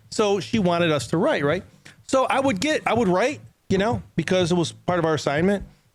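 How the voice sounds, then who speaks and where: Pitched high, a man speaks in an animated tone at a fairly quick pace, his intonation lively. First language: not English. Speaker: company executive and podcast co-host. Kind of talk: casual podcast chat. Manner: animated, conversational.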